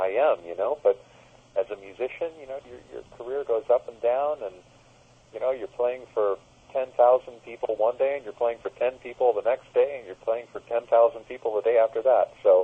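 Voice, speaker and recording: A man with an American accent, at a moderate pace, with big swings in loudness. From United States. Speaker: musician, keyboardist. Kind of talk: phone interview.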